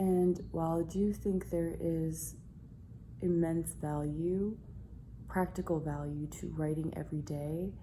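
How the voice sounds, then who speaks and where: Whispering at a fairly slow pace, a woman sounds somewhat breathy amid audible room echo. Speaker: writing vlogger. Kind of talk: casual vlog monologue.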